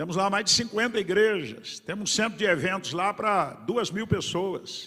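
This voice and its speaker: Raising and projecting his high voice, a man talks at a fairly slow pace with a bright, sharp tone and ordinary pitch variation. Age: 70s. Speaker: pastor. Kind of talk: sermon. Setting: church conference with congregation.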